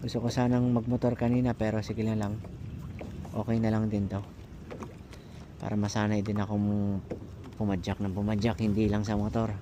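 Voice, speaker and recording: A man's fairly low, monotone voice at a fairly quick pace, with long, frequent pauses and flat intonation. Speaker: fishing vlogger. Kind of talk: outdoor vlog narration. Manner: casual, halting with fillers.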